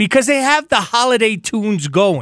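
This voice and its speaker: In a very clean recording with a silent background and a dry, close sound with no echo, a man projects a raised, high-pitched voice with a bright, sharp tone, animated and with lively intonation, at a fairly slow pace. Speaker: radio sports host. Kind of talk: radio dj patter, upbeat sports-talk monologue. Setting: radio studio.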